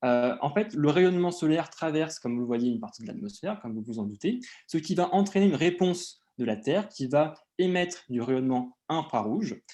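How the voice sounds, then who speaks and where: This man has a fairly high voice with a dark, mellow tone. His pitch swings very widely over a quiet background. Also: fairly quick pace. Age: 20s. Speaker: PhD student in geology, conference speaker. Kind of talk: conference presentation. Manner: hesitant, many filler sounds.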